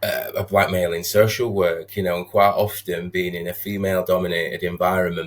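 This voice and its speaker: A man with a Sheffield accent speaks at a fairly quick pace in a very deep, low voice, his intonation monotone and flat, with hardly any pauses. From northern England, Sheffield. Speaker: social worker. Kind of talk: podcast interview. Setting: video call.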